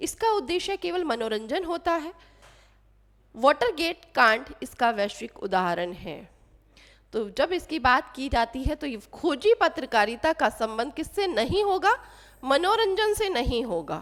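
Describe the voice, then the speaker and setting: A woman speaks at a very slow pace with a high pitch and very wide pitch swings. The recording is very clean, with a silent background. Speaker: Hindi literature teacher. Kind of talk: exam quiz tutorial.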